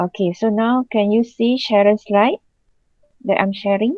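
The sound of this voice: Recorded dry and close with no echo, a woman speaks at a medium pitch and fairly slow pace, her slightly mellow tone showing ordinary pitch variation.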